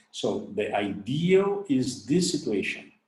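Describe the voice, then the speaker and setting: In a room with audible echo, a man talks in a somewhat breathy voice with very wide pitch swings. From Brazil. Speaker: orthodontics professor. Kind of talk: lecture. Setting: webinar recording. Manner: halting.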